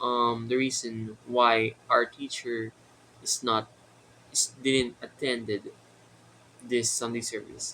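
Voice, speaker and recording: With a Filipino accent and a bright, sharp tone, a man speaks at a medium pitch in a monotone, flat intonation, at a very slow pace with long, frequent pauses. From Philippines. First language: Tagalog. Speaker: vlogger. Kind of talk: casual vlog monologue. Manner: halting, many fillers.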